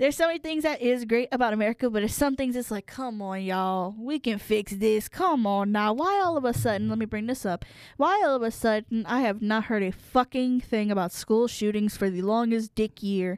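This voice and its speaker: A woman with a Louisiana accent speaks at a fairly quick pace in a fairly high pitch, with an animated tone and ordinary pitch variation, in a very clean, dry, close recording with no echo and a silent background. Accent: US Southern (Louisiana). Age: 20s. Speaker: podcast guest, host's sister. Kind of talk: casual chat.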